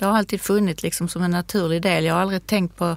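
A plain, everyday voice from a woman, fairly even in intonation and fairly quick, in a very clean recording with a silent background. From Sweden, Skåne. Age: 60s. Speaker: craft shop manager and embroidery teacher. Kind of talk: casual chat. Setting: studio.

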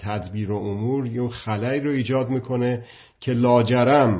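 The man's voice is somewhat breathy. He moves at a fairly quick pace with fairly even intonation. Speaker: political commentator. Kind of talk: monologue talk.

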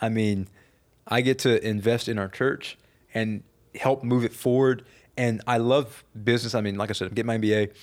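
On a very clean recording with a silent background, a man speaks at a fairly quick pace. His medium-pitched delivery is monotone and flat. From Louisiana, St. Charles Parish. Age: 20s. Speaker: pastor and political candidate. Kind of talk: casual interview.

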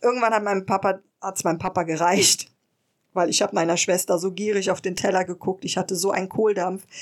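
On a very clean recording with a silent background, a woman's intonation is monotone and flat. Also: medium pitch for a woman, fairly quick pace. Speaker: podcast co-host. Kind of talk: interview.

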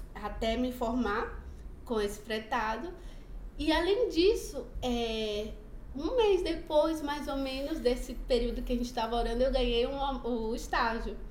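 A woman's high-pitched voice with lively intonation, a fairly slow pace and audible room echo. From Bahia, Brazil (Feira de Santana). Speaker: churchgoer sharing her life story. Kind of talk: testimony. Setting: studio.

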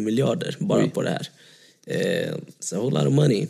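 A man's voice carries a dark, mellow tone with vocal fry. He talks at a fairly quick pace. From Surahammar, Sweden. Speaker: singer. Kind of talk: casual chat.

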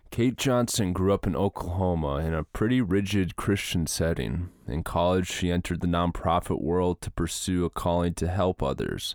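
A man with an American accent and a very deep, low pitch speaks at a moderate pace with ordinary pitch variation. The sound is dry and close with no echo, on a very clean recording with a silent background. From Minnesota, US. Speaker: podcast host. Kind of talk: casual interview conversation; scripted introduction. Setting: warehouse with microphones.

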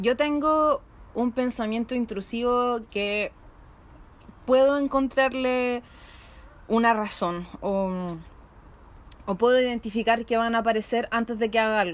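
With a Chilean accent, a woman at a fairly high pitch speaks at a fairly slow pace, using ordinary pitch variation and long, frequent pauses. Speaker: podcast host. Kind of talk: casual chat. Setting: outdoors in a patio.

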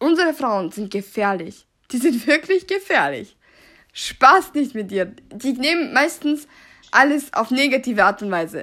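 In a bright, sharp tone, a woman speaks at a high pitch with very wide pitch swings. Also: very clean recording, silent background. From Austria, Salzburg, Serbian family. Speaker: podcaster. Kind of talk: casual monologue, German-Serbian code-switching. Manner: unscripted, halting.

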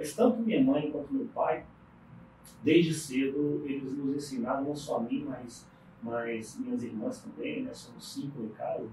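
Audible room echo surrounds a man whose fairly high voice moves at a fairly slow pace, with very wide pitch swings and big swings in loudness. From Brasília, Brazil (born in Paraíba). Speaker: business owner. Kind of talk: interview. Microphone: poor audio quality.

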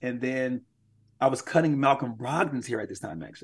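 A man has an ordinary speaking voice, medium in pitch, with ordinary pitch variation. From Milwaukee, Wisconsin. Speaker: pastor and team chaplain. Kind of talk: interview.

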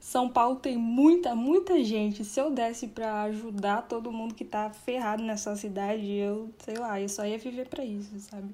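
Speaking with a normal speaking voice, a woman talks at a moderate pace with a fairly high pitch, ordinary pitch variation and hardly any pauses. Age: 20s. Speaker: writer. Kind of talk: casual chat.

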